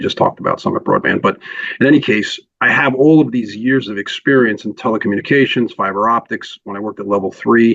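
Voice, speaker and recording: Very fast speech from a man, his intonation fairly even. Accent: New York. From New York (Queens). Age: 60s. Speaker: telecom consultant. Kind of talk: podcast interview. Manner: hesitant, many fillers.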